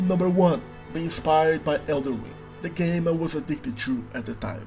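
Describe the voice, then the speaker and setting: Music plays behind a man whose fairly high voice moves at a fairly quick pace. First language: Brazilian Portuguese. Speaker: worldbuilding YouTuber. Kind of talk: scripted narration.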